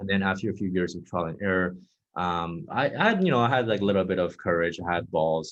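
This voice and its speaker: A man with a Chinese accent speaks at a very fast pace in a very deep, low pitch. His intonation stays fairly even. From Texas. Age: 20s. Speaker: dating coach. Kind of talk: interview.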